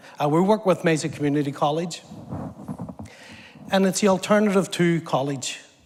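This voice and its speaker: A man with a slight Northern Irish accent talks at a fairly quick pace with ordinary pitch variation. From Northern Ireland, Belfast. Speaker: government apprenticeship program lead. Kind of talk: TV interview. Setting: stage with audience.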